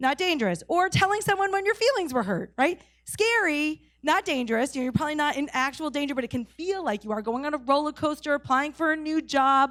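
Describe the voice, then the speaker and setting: Very fast, lively intonation, with a New England accent. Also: woman, high pitch for a woman. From New England, New Hampshire. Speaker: pastor. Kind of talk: sermon. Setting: church service, in person and online.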